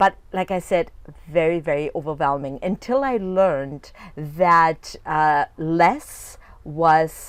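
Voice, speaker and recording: On a very clean recording with a silent background, a woman speaks at a very slow pace. Her pitch is fairly low. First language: not English. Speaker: fitness coach. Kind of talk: video coaching talk. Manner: casual, with frequent fillers and restarts.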